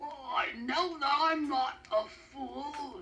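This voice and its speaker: A put-on character voice from a man, raised and projected, extremely high in pitch for a man and very slow. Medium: read story.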